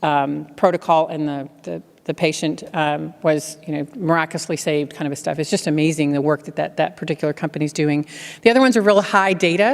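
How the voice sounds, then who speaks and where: The speaker is a woman with a very deep, low pitch. Her pitch varies in an ordinary way. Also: fairly quick pace. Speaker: keynote speaker, healthcare technology executive. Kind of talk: keynote speech with Q&A. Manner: fast.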